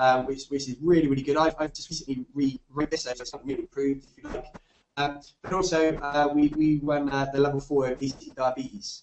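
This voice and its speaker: A man with a Bristolian accent, fairly high pitch, monotone, flat intonation and a very fast pace. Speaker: fitness nutrition tutor. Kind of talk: webinar lecture. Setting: online webinar. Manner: halting, many fillers and repetitions; casual.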